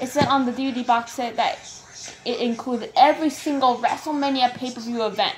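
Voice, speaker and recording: A high-pitched woman at a fairly quick pace, with noticeable background noise. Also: ordinary pitch variation. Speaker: creepypasta narrator. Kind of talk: first-person horror story narration, read aloud. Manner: halting, stumbling over words and repeating phrases while reading.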